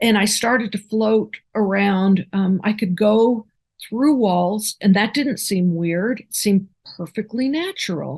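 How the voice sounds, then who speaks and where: Against a quiet background, a somewhat breathy woman speaks at a medium pitch and a fairly slow pace, with ordinary pitch variation. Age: 60s. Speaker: near-death experiencer. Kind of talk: interview testimony. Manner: halting.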